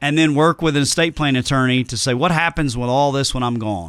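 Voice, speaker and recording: A man's fairly high, bright, sharp voice with a Southern US accent and ordinary pitch variation. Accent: Southern drawl. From Tennessee, US South. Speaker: financial planner. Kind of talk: podcast interview. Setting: studio.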